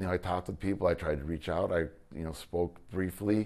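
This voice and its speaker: Intonation fairly even, a man talks at a fairly quick pace. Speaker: former high school football coach. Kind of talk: interview answer. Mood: earnest, frustrated. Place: office. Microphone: lapel.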